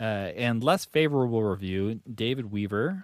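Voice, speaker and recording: On a very clean recording with a silent background, a man speaks fairly slowly at a medium pitch, with lively intonation and an unremarkable speaking voice. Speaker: podcast host. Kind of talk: casual banter.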